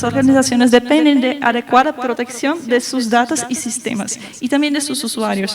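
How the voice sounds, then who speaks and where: Amid noticeable background noise, a woman with a Brazilian accent speaks at a high pitch and fairly quick pace, her intonation fairly even. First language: Portuguese (speaking Spanish). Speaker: lawyer and panelist. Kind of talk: panel talk. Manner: halting, many fillers.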